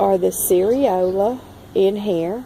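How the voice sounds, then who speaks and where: Over noticeable background noise, a woman speaks with a strong Southern US accent and ordinary pitch variation. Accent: strong Southern drawl. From Southern United States. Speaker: forager and plant grower. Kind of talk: casual talk to camera. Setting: outdoors. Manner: slow.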